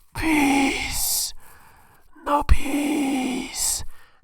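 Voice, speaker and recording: Someone performs a put-on character voice. It sits high in pitch. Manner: slow, eerie.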